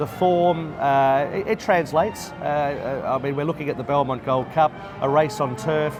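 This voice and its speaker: Music plays in the background. A man speaks over it at a fairly high pitch. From Australia. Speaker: race caller. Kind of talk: interview answer. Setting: bar at a racetrack.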